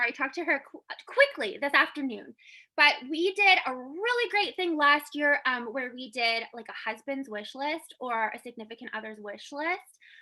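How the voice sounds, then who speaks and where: A woman projects a raised, high-pitched voice with a bright, sharp tone, lively intonation and big swings in loudness. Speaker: team leader in a makeup direct-sales business. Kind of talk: team call, motivational business update. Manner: fast.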